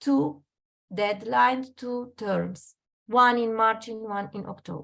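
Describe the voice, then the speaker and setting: Against a quiet background, a woman with a Romanian accent speaks very slowly in a fairly high pitch with ordinary pitch variation. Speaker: Erasmus expert presenter. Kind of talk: webinar presentation.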